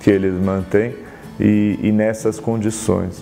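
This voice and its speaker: A fairly low-pitched male voice over noticeable background noise. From Brazil, São Paulo (Argentine family). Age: 30s. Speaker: writer. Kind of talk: self-presentation talk about his work. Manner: reflective, with hesitations.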